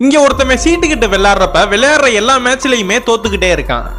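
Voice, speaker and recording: A man uses a raised, projected voice at an extremely high pitch, with ordinary pitch variation and very even loudness. Music plays in the background. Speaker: voiceover narrator. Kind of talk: movie plot recap voiceover.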